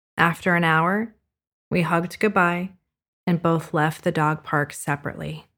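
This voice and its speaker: A woman speaks at a moderate pace with a fairly low pitch and a bright, sharp tone. Her loudness stays very even on a very clean recording with a silent background. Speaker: podcast host and storyteller. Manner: animated, dramatic, emotionally expressive storytelling.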